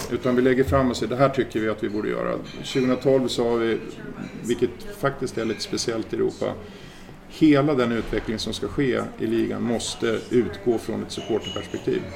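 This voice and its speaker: Through noticeable background noise, a man at medium pitch speaks at a moderate pace with fairly even intonation. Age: 50s. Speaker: football association secretary general. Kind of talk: casual interview.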